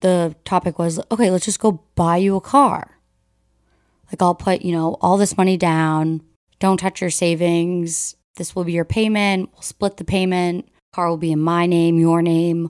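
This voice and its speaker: On a very clean recording with a silent background, a woman speaks at a fairly low pitch in a dry, close sound with no echo. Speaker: podcast co-host. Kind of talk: casual chat between friends. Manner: loud, bubbly, animated.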